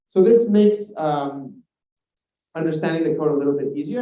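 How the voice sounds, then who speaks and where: A man talks at a very fast pace. His voice is fairly high in pitch, and there is audible room echo. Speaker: software engineer presenting a talk. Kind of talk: technical conference talk. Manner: hesitant, many fillers.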